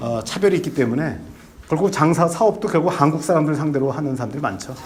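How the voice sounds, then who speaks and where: Amid noticeable background noise and audible room echo, a man talks at a very fast pace in a fairly high voice with ordinary pitch variation. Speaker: former diplomat and visiting professor giving a lecture. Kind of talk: lecture. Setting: lecture hall with audience. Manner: halting, many fillers.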